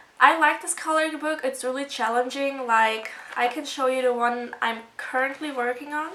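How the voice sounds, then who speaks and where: A woman speaks with a German accent at a high pitch. Her pace is moderate and her intonation fairly even. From Germany. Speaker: video blogger. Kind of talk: casual show-and-tell video. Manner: casual, hesitant with fillers.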